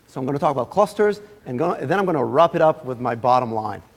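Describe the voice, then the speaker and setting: Noticeable background noise sits behind a man with an Israeli accent. His fairly high voice makes very wide pitch swings. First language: Hebrew. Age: 30s. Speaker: guest lecturer. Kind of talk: lecture.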